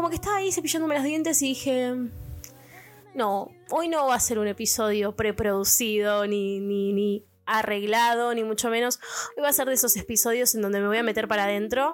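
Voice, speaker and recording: A woman's fairly high voice with ordinary pitch variation and very even loudness, at a fairly quick pace over music in the background. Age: 20s. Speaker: podcast host. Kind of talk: casual monologue.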